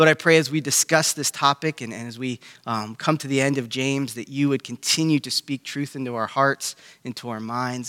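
A man talks at a fairly quick pace in a medium pitch. His tone is bright and sharp, his intonation fairly even. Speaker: pastor. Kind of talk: fervent prayer, earnest and devotional, addressed to God. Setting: church gathering, online. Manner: heartfelt, sincere and reverent; halting, with frequent fillers and repeated words.

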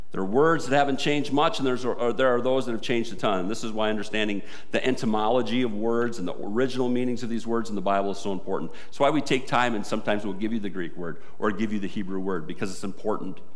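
A warm-toned voice rushes along at a very fast pace with hardly any pauses over noticeable background noise. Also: man, medium pitch for a man, ordinary pitch variation. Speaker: pastor. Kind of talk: sermon. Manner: earnest, warm, conversational-pastoral, building to fervent prayer.

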